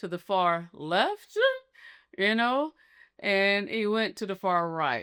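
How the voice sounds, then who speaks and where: A woman's medium-pitched voice with very wide pitch swings, on a very clean recording with a silent background. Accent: American. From US South, Atlanta, Georgia. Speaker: YouTuber telling her life story. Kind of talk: personal storytelling monologue. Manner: casual, hesitant with frequent ums.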